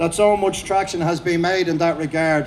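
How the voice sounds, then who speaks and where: A man with an Irish accent and a high pitch speaks at a fairly quick pace. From Ireland. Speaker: protest speaker, former police officer. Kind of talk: rally speech. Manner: fast; animated.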